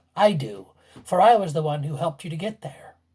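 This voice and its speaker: In a put-on character voice, the speaker moves at a fairly quick pace around a middle pitch. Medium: read story. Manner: knowing, mischievous.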